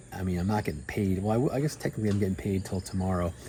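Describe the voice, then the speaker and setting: With a very deep, low pitch, a man speaks in a dark, mellow, somewhat breathy tone. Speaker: airline pilot and travel vlogger. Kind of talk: casual vlog talk to camera. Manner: animated.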